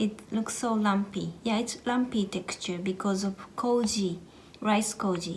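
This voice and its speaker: Speaking at a fairly slow pace, a woman keeps a medium pitch, very even loudness and fairly even intonation. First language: Japanese. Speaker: cooking vlogger. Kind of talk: tutorial. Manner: halting, with many fillers.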